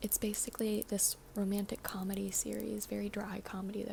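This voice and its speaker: A soft-spoken woman at a moderate pace. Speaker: ASMR creator and actress. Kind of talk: casual talk to camera. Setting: studio.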